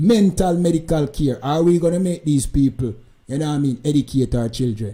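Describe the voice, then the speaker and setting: Somewhat breathy, a man talks at a moderate pace with a dark, mellow tone, a fairly high pitch and ordinary pitch variation. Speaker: commentator reacting to video. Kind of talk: live stream commentary.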